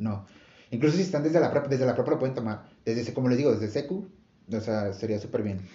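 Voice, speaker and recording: A man speaks at a very fast pace with a medium pitch and lively intonation. His voice is somewhat breathy. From Monterrey, northern Mexico. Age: 20s. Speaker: podcast host, industrial engineer. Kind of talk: casual chat.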